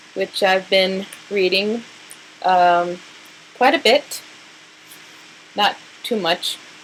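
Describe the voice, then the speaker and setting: A woman with an American accent talks at a very slow pace with long, frequent pauses. Her pitch is medium with ordinary variation, and there is noticeable background noise. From New Mexico. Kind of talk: casual talk to camera.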